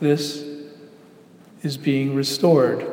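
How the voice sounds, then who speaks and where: A man talks at a very slow pace in a calm, soothing tone with fairly even intonation, while noticeable background noise sits behind him. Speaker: pastor. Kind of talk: guided meditation. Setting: church. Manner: slow, calm, soothing, unhurried; gentle, pausing for breaths.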